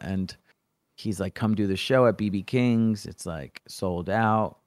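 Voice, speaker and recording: At a moderate pace, the voice has a dry, close sound with no echo. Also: man. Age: 40s. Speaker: freestyle rapper. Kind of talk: casual chat. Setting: video call. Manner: animated.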